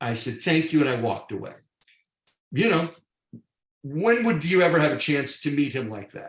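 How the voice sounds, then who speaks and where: A man speaks with an American accent at a fairly high pitch. His intonation is lively and his pace moderate. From New York, Long Island. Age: 60s. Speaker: real estate team lead and theater co-producer. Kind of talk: podcast interview storytelling. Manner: animated.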